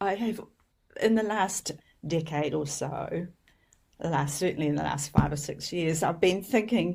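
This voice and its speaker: Speaking at a moderate pace with long, frequent pauses, a woman uses a fairly low pitch, ordinary pitch variation and vocal fry. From New Zealand. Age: old. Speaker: homeopath and educator. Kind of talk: interview storytelling.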